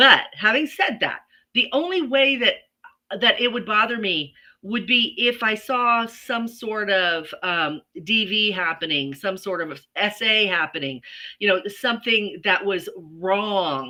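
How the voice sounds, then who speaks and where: A woman's ordinary speaking voice, fairly high in pitch, with lively intonation and a fairly slow pace. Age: 60s. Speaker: podcast co-host. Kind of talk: casual chat. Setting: livestream video.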